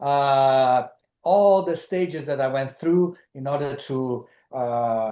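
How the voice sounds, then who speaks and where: The speaker has a Brazilian Portuguese accent. The background is quiet. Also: man. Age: 70s. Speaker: lodge founder. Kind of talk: webinar presentation. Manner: halting, many fillers.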